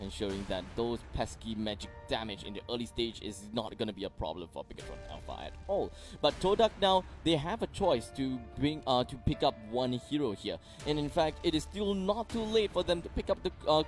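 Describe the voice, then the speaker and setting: Music sounds in the background. The talking proceeds at a moderate pace. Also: man. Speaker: esports shoutcaster (play-by-play commentator). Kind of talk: esports match commentary.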